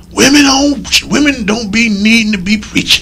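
Over clear background noise, a man projects a raised, high-pitched character voice at a fairly slow pace. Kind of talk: preaching.

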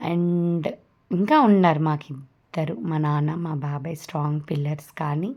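This woman's pitch is very deep and low. A dark, mellow tone colors her voice. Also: fairly even intonation, very clean recording, silent background. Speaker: vlogger. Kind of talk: vlog narration.

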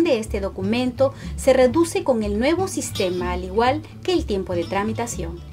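Background music is present throughout. Over it, a woman speaks at a moderate pace. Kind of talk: government informational video narration.

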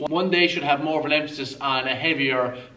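Fairly even intonation from a man talking at a fairly quick pace. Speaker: fitness coach. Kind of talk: tutorial. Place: gym.

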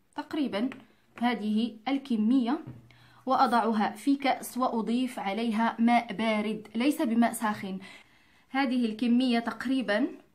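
Speaking very slowly, a woman uses a fairly high pitch and fairly even intonation. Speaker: cooking and home remedy video host. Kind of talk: tutorial. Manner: neutral simplified dialect.

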